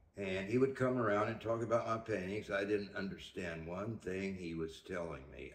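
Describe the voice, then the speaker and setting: In a room with audible echo, a man with a very deep, low pitch speaks at a moderate pace with ordinary pitch variation. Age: 80s+. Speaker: artist. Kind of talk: interview. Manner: halting.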